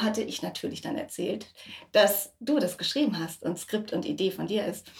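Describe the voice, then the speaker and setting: A woman talks at a moderate pace with lively intonation and a fairly high pitch. Vocal fry runs through her voice. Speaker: podcast host and voice actor. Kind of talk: casual chat. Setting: home kitchen.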